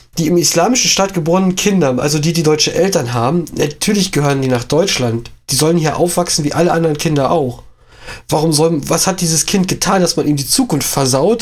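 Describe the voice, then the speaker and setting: Fairly quick and high-pitched, a man talks with ordinary pitch variation. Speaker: podcast co-host. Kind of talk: casual political discussion.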